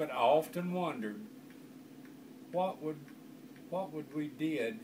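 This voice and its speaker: This man has a fairly high voice for a man and speaks with an Arkansas accent. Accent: Southern US, Arkansas. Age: old. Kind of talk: storytelling, family anecdote.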